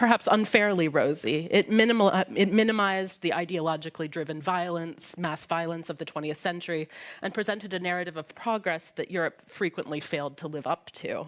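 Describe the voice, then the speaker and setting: A woman with an American accent speaks at a fairly low pitch and a fairly quick pace, with ordinary pitch variation and hardly any pauses. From US Midwest. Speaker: historian. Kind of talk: prepared talk at a panel discussion. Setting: library event with live audience.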